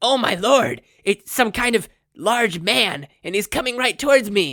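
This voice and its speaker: A put-on character voice is pitched fairly high. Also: moderate pace. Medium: read story.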